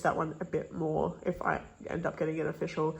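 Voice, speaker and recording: A woman's somewhat breathy voice sits at fairly low pitch, its intonation monotone and flat. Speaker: K-pop photocard collector vlogger. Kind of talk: casual vlog. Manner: fast.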